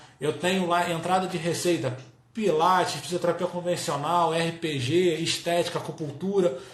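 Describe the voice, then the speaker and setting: Against noticeable background noise and audible room echo, a man speaks at a high pitch with fairly even intonation. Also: moderate pace. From Brazil, Rio de Janeiro. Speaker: business coach for health professionals. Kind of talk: live-stream talk.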